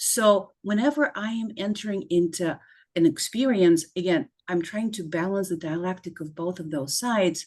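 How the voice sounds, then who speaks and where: A woman speaks with a non-native accent at a fairly slow pace. Her pitch is medium, with ordinary variation. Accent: foreign accent, still noticeable. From former Soviet Union. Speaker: clinical psychologist. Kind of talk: interview.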